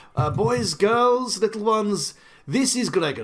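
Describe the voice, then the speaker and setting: A man puts on a booming character voice and delivers it at a moderate pace. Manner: hearty, welcoming, loud.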